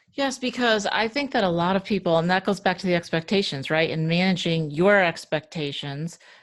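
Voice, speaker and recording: An unremarkable speaking voice at a moderate pace, with ordinary pitch variation against a quiet background. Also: woman. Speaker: podcast host. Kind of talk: podcast interview.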